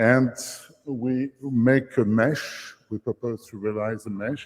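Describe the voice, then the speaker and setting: A man with a medium-pitched voice and a dark, mellow tone shows ordinary pitch variation. His pace is very slow. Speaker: company founder presenting startup. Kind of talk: conference pitch. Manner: halting.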